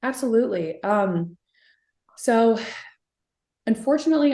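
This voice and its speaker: A dark, mellow tone with a Californian accent. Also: woman. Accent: General American (Californian). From California (Sacramento), US West. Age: 30s. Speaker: singer. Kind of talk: interview. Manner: many fillers, hesitant.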